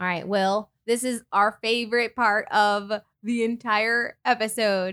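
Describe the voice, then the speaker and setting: Speaking at a fairly slow pace, a woman with a fairly high pitch has a bright, sharp tone on a very clean recording with a silent background. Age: 30s. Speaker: podcast host. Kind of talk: casual chat. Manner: animated.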